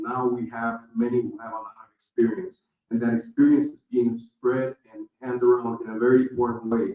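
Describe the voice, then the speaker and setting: An ordinary speaking voice from a man, with fairly even intonation. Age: 60s. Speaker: nonprofit founder and CEO. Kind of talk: panel talk.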